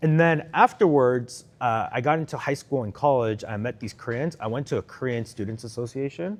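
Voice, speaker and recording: A man with a normal speaking voice, medium pitch and lively intonation, at a moderate pace over a quiet background. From Korea, moved to US as a child. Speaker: startup executive. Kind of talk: interview. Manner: casual, filler-heavy.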